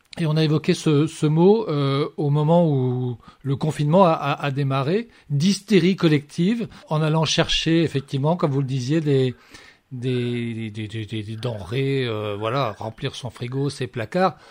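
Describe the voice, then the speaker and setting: A man talks at a very slow pace with a fairly high pitch. His intonation is lively. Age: young. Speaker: radio host. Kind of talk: radio show interview.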